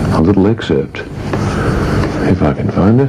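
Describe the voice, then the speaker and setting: The voice swings very widely in pitch. Noticeable background noise runs underneath. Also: man. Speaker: radio presenter. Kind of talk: breakfast radio talk. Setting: AM radio studio. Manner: dry, joking.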